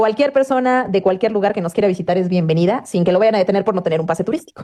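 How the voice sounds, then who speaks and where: A woman's medium-pitched voice in a central Mexican accent, very fast, with ordinary pitch variation. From Mexico, Puebla. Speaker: news anchor. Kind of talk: interview.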